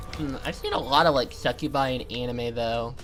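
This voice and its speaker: Over music in the background, a woman with a very deep, low pitch and a slight Maine accent talks at a moderate pace. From Maine, US. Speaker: gaming streamer. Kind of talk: let's play commentary. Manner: animated.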